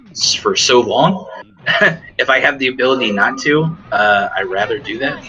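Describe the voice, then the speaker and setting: Over noticeable background noise, a man talks at medium pitch and a moderate pace with lively intonation. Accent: American. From US Midwest, Dayton, Ohio. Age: 30s. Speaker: mental health worker. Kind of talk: casual chat. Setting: gaming podcast recording. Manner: halting.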